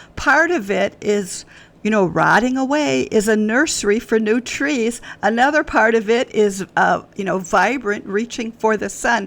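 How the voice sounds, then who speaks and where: Using a normal speaking voice, a woman with an American accent speaks at a fairly slow pace, with a fairly high pitch and lively intonation. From US Midwest, Wisconsin. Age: 60s. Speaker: author. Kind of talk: podcast interview. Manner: conversational, with frequent fillers.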